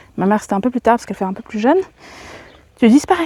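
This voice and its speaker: Her intonation is lively and her pitch fairly high, as this woman speaks. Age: 30s. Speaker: vlogger. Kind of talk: casual chat. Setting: outdoors. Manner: halting.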